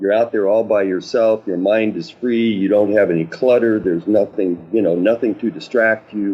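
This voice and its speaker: Speaking with an American accent, a man keeps his intonation fairly even and barely pauses. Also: moderate pace. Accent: sounds Canadian to the host. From New Mexico, US. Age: 70s. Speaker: paddleboarder. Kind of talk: podcast interview. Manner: hesitant, many fillers.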